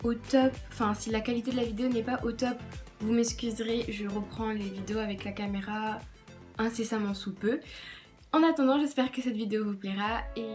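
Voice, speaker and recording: A woman speaks at a moderate pace with fairly even intonation. Faint music plays in the background. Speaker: beauty vlogger. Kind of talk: casual vlog chat. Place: home room. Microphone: phone near.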